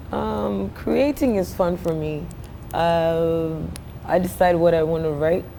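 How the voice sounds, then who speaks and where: Very slow, lively intonation from a woman, with noticeable background noise. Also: fairly low pitch for a woman. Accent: Ghanaian. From Ghana. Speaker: singer and songwriter. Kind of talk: interview answer. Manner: casual, conversational.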